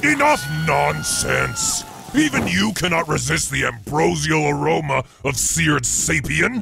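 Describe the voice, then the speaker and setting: Over clear background music, a man uses a raspy put-on character voice at a medium pitch and a fairly slow pace. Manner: theatrical, bombastic.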